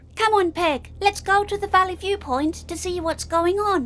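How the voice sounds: A woman speaks at a moderate pace in a put-on character voice pitched extremely high.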